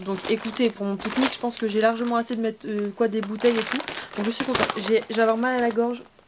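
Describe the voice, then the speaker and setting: A woman with a fairly high pitch talks very fast in a monotone, flat intonation over noticeable background noise. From Normandy, France. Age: 20s. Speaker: beauty youtuber and pageant queen. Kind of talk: casual haul vlog. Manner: chatty, hesitant with fillers.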